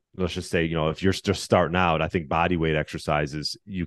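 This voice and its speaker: A man's very deep, low pitch with vocal fry and fairly even intonation, dry and close with no echo over a quiet background. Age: 40s. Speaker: personal trainer and fitness podcast host. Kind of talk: interview conversation. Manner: halting, many fillers.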